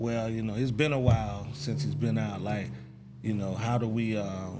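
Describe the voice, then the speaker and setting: There is audible room echo as a man speaks with an American accent. His pitch is fairly low, with ordinary pitch variation. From Texas, Dallas. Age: 40s. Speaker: talk show host. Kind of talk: interview.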